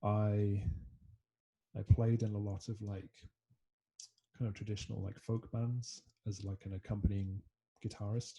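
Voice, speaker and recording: Long, frequent pauses from a man with a fairly low, somewhat breathy voice, a dark, mellow tone, fairly slow pace, and monotone, flat intonation. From Scotland. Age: 20s. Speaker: musician. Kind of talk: casual interview chat. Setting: video call.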